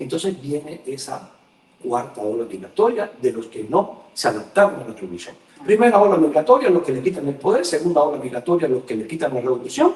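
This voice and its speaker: Very wide pitch swings and big swings in loudness at a fairly quick pace. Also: man, fairly high pitch for a man. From Cuba. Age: 60s. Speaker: journalist. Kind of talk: casual chat.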